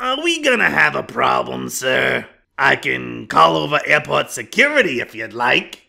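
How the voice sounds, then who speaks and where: A man's voice comes across raspy. He keeps a moderate pace. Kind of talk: PA announcement. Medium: machinima. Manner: condescending, falsely polite.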